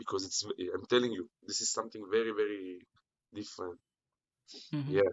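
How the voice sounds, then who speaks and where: In an Israeli accent, a man talks at a very fast pace and a fairly low pitch, with ordinary pitch variation and long, frequent pauses. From Israel, Jerusalem. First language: Hebrew. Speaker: internet personality. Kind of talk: casual chat. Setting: video call.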